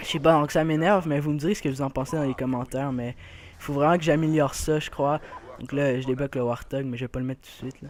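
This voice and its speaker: A man with a Quebec accent and a fairly high pitch. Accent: Québécois French. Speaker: gaming youtuber. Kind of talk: gameplay commentary. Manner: hesitant, many fillers.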